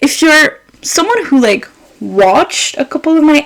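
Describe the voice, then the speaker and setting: A woman with a non-native accent sounds animated, her pitch swinging very widely. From Quebec, Montreal. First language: French (also Arabic). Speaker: podcaster. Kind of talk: casual chat.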